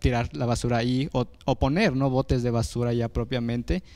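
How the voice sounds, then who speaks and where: The man's tone is dark and mellow. He keeps a moderate pace and a fairly even intonation. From Mexico, Oaxaca. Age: young. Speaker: youth activist and former electoral councillor; former electoral councillor. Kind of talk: panel discussion. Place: studio. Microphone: handheld.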